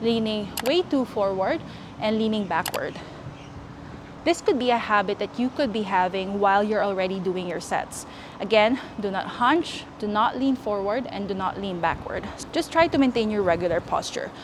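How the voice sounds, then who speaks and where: With a non-native accent, the speaker uses lively intonation at a moderate pace against noticeable background noise. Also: woman, fairly high pitch for a woman. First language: not English. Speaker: fitness youtuber. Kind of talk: tutorial. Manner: casual, chatty.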